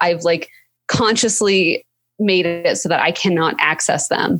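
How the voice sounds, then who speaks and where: The speaker has a plain, everyday voice, moving at a moderate pace with ordinary pitch variation. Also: woman. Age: 30s. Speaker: lawyer and entrepreneur. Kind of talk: casual interview.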